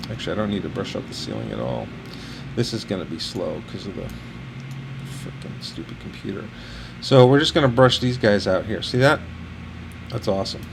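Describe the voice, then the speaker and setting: Fairly quick male speech with long, frequent pauses and big swings in loudness, amid audible room echo and noticeable background noise. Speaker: architectural photographer. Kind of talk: tutorial.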